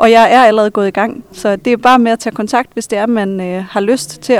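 A woman with an ordinary speaking voice talks at a fairly quick pace with fairly even intonation. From Denmark, Vendsyssel (Hirtshals). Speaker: high school teacher and psychotherapist. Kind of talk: interview. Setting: library.

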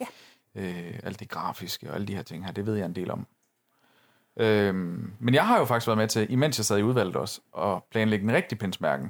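A man's fairly low-pitched, normal speaking voice, with ordinary pitch variation at a moderate pace in a very clean recording over a silent background. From northern Jutland, Denmark. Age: 30s. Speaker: podcast co-host. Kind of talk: casual chat.

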